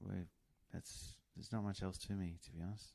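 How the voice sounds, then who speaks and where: A man speaks with a very deep, low pitch. His intonation shows ordinary pitch variation. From New Zealand, raised in North Queensland. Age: 40s. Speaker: train driver, podcast guest. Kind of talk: casual interview chat. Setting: in person, host's office.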